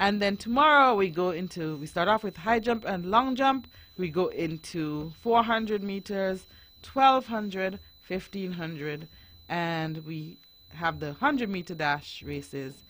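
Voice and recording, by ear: A woman with a fairly low pitch and a fairly bright tone speaks slowly, her intonation lively.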